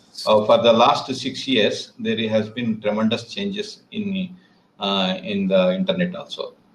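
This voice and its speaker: A man with an Indian accent, medium pitch, very wide pitch swings and a fairly slow pace. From southern India, Telangana. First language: Telugu. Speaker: English learner. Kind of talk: casual chat. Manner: halting.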